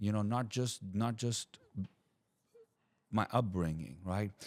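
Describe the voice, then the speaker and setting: A man with a non-native accent at a very slow pace. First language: not English. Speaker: podcast guest. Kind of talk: casual chat. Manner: halting, repeats words.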